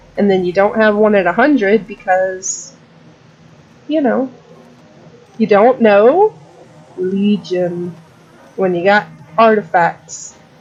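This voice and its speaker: At a very slow pace with long, frequent pauses, a woman talks at medium pitch with ordinary pitch variation over noticeable background noise. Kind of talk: casual gaming commentary. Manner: rambling; loud.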